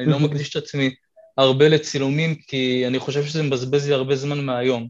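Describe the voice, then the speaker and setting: This is a man with an unremarkable speaking voice. His pitch sits fairly high. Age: 20s. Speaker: calisthenics athlete and physiotherapy student. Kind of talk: casual interview chat.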